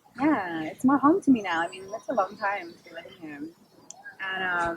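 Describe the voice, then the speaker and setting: Over noticeable background noise, a woman talks at a fairly quick pace with a medium pitch and lively intonation. Her loudness swings widely. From Australia. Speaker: model and actress. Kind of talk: casual chat.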